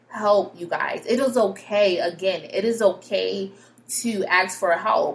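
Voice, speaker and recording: A woman with an American accent, medium pitch and an animated tone at a fairly slow pace, over noticeable background noise. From Connecticut, US. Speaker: podcast host, mental health educator. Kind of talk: solo podcast monologue.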